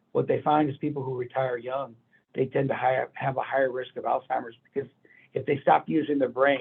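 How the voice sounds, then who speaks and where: An unremarkable speaking voice with an American accent, at a fairly quick pace. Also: man. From Texas, San Antonio. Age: 60s. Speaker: physician. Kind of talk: health talk answering audience questions. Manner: conversational, with fillers.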